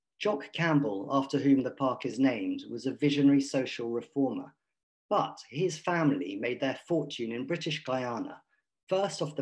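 With a quiet background, the speaker keeps a moderate pace and ordinary pitch variation. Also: man. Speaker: gallery director and event host. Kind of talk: panel moderation. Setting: video call. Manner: formal. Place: home room. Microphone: video call.

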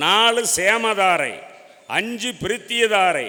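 A man projects a raised voice at a high pitch with fairly even intonation. Noticeable background noise is present. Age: 60s. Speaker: astrologer. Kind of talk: debate speech.

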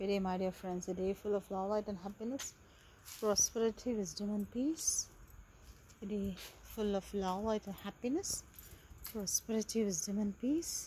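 The speech moves at a moderate pace with long, frequent pauses and ordinary pitch variation, sounding dry with no echo over light background noise. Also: woman. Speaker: vlogger. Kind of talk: casual vlog chat. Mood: cheerful, festive. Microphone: phone near.

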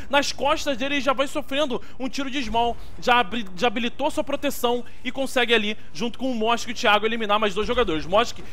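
A man talks at a very fast pace with extremely high pitch and ordinary pitch variation. Background noise is noticeable. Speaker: game commentator. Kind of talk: sports commentary. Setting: online stream. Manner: fast, excitable play-by-play, exclaiming at big shots; informal, chatty, talking straight to the audience.

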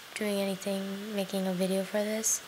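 With noticeable background noise around her, a woman keeps a moderate pace. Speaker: vlogger. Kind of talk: casual vlog chat. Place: home room. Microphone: webcam.

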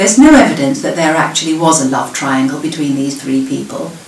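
A woman talks with a southern English accent and a very deep, low pitch. Audible room echo surrounds her voice. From southern England. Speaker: local history presenter. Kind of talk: prepared talk. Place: home room. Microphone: webcam.

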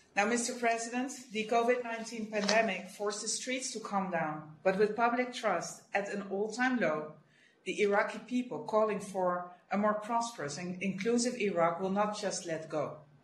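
A woman at a moderate pace with hardly any pauses, light background noise and audible room echo. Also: ordinary pitch variation. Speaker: official briefing a council. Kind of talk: formal prepared briefing. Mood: serious, measured. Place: office. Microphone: video call.

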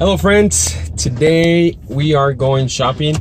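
The speaker is a man talking at a very slow pace. The sound is dry with no echo, over light background noise. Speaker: video blogger. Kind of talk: casual vlog chat. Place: car. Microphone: phone near.

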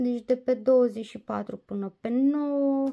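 A woman's dark, mellow tone with ordinary pitch variation over a quiet background. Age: 30s. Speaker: diamond painting vlogger. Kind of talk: casual vlog review; casual vlog chat. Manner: hesitant, many fillers. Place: home room. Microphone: phone near.

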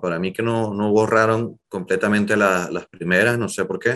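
A man is speaking. The background is quiet. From Venezuela, Zulia region; Venezuela. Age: 30s. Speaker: journalist and emigrant; interview guest. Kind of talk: interview, personal story. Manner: hesitant, many fillers. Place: home room. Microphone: webcam.

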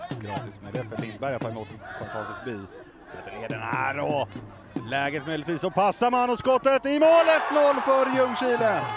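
Big swings in loudness and very wide pitch swings mark this man's animated tone, pitched fairly high. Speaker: football commentator. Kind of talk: live football commentary. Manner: fast, animated, excitable; breathless, rapid play-by-play.

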